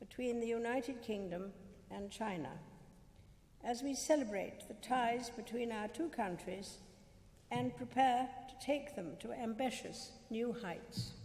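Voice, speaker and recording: A woman with fairly high pitch and vocal fry, at a fairly slow pace. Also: ordinary pitch variation. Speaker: monarch giving a state speech. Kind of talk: formal state banquet speech. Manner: formal, measured.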